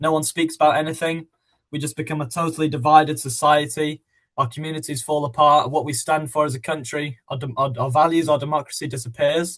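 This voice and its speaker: A man with a British accent speaks very fast at a fairly high pitch. His intonation stays fairly even. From England. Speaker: podcast co-host. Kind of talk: casual podcast discussion.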